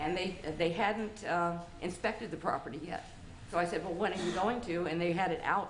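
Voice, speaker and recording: With an American accent, a woman speaks at a fairly quick pace in a fairly low pitch with fairly even intonation, over noticeable background noise and audible room echo. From Florida. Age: 70s. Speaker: property owner at code hearing. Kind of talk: testimony.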